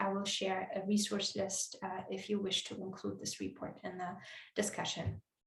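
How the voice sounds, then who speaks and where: A woman talks at a moderate pace with big swings in loudness. Audible room echo is present. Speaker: conference speaker. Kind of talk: conference presentation. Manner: hesitant, many fillers.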